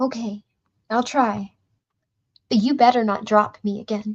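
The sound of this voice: In a put-on character voice, the speaker sounds shaky, keeping a monotone, flat intonation at a moderate pace. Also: woman, fairly high pitch for a woman.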